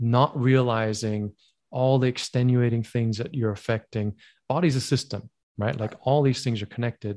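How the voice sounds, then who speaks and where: A man talks at a moderate pace in a normal speaking voice, medium in pitch, with fairly even intonation. The recording is very clean, with a silent background. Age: 40s. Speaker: myopia self-help educator. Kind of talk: interview.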